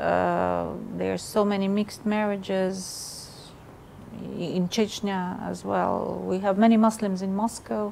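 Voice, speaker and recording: Speaking fairly slowly, a woman talks in a Russian accent. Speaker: ambassador. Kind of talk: interview. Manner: halting.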